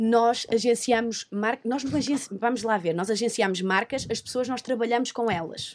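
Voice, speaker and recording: A woman talks at a moderate pace with hardly any pauses, her pitch fairly high and its variation ordinary. It is a normal speaking voice. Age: 20s. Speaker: TV presenter. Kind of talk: casual chat.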